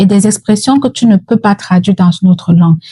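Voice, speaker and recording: A woman's somewhat breathy voice with a Cameroonian accent, medium pitch, ordinary pitch variation, and a dark, mellow tone, in a dry, close sound with no echo. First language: Yemba (speaking French). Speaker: mental health educator. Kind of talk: educational talk.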